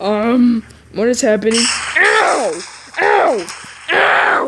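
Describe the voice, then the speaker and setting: Very slow, fairly high speech in a put-on character voice. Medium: machinima. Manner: smug, mocking, giggly.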